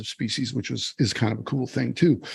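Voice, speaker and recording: A man with an Upper Midwest accent, relaxed in tone, at a medium pitch and moderate pace. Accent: Upper Midwest American. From Wisconsin, US Midwest. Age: 60s. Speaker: farmer and conservationist. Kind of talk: podcast interview. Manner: relaxed, conversational with fillers.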